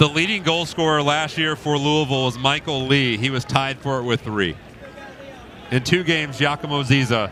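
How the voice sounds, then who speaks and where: A man with an American accent, fairly high pitch, ordinary pitch variation and a moderate pace, over noticeable background noise. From Indiana. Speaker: soccer play-by-play commentator. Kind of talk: live commentary.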